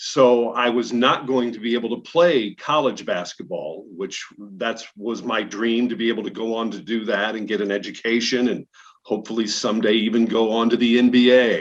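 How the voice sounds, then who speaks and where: A voice with an American accent and fairly even intonation. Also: man, medium pitch for a man. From Illinois, Peoria. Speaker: TV news anchor. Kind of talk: casual interview.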